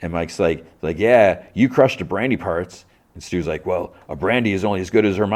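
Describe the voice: This is plain reading aloud. Nothing more stands out.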